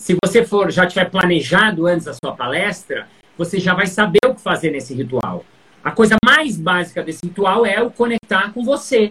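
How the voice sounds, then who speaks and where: A moderate pace of speech with noticeable background noise. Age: 50s. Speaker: stage performer. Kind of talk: casual interview chat.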